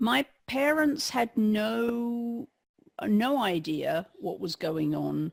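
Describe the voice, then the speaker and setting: A woman with an English accent speaks with very wide pitch swings. The sound is dry and close with no echo, on a very clean recording with a silent background. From England. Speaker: podcast guest, pastry chef. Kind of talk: interview testimony. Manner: hesitant, with repetitions.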